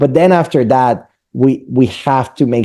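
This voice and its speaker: Speaking at a moderate pace in a Spanish accent, a man uses a medium pitch and a dark, mellow tone. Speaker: mortgage lender. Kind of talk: business presentation to real estate team. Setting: meeting with real estate team.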